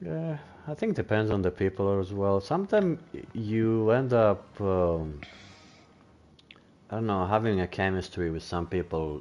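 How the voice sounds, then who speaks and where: A man speaks at a moderate pace with a non-native accent and a very deep, low pitch. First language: not English. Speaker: gaming streamer. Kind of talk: casual chat. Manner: halting.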